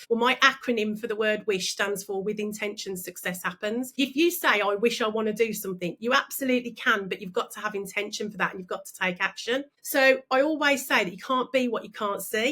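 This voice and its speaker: A woman with a Birmingham accent speaks in a bright, sharp tone at a fairly high pitch with ordinary pitch variation. Her fairly quick delivery has hardly any pauses and big swings in loudness. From Birmingham, England. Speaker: business coach and speaker. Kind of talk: interview. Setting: podcast. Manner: animated.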